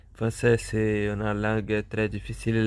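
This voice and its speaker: A medium-pitched man with a Portuguese accent, on a very clean recording with a silent background. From Brazil. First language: Portuguese (speaking French). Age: 30s. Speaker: polyglot language learner vlogger. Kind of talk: language practice monologue. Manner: halting, many hesitations and repetitions.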